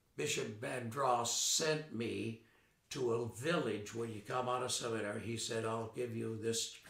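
A man with an American accent speaks at a fairly slow pace in medium pitch. His pitch varies in an ordinary way, and the room echo is audible. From US South, western North Carolina mill town (born Chicago). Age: 80s+. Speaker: retired Episcopal priest. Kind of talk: oral history interview. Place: home room.

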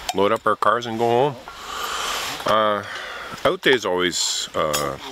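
At a fairly slow pace, a man speaks in a dry sound with no echo while noticeable background noise runs underneath. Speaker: canoe tripper vlogger. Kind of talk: casual vlog chat. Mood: wistful, relaxed. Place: forest. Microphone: phone near.

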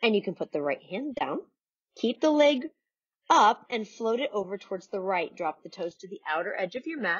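A woman's calm, soothing voice at a fairly high pitch and moderate pace, with very wide pitch swings, big swings in loudness and a quiet background. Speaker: yoga instructor. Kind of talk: guided yoga class. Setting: home video recording. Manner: calm, soothing, and instructional; warm and encouraging. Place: home room. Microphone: camera far.

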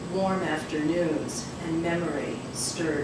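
Speech at a very slow pace carries noticeable background noise and audible room echo. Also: woman. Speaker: poet reading her work. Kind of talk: poetry reading. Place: cafe.

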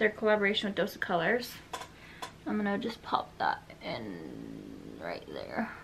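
Noticeable background noise sits under a woman's voice. She speaks at a moderate pace with long, frequent pauses. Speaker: beauty vlogger. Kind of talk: tutorial. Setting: at home, in a converted garage room. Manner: casual, chatty. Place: home room. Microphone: phone near.

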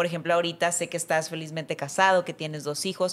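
Her pitch is fairly low for a woman, and she talks at a fairly quick pace. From Mexico. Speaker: podcast host. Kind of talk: interview. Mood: warm, emotional, animated. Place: studio. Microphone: studio mic.

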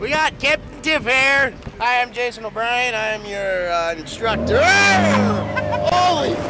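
A fairly slow pace, with crowd noise in the background and a dry sound with no echo. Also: man. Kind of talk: casual home video chat. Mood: playful, joking. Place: boat. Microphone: phone near.

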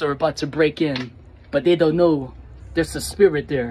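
This is a man speaking. Light background noise can be heard. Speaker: skit creator. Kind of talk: casual vlog chat. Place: street. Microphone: phone near.

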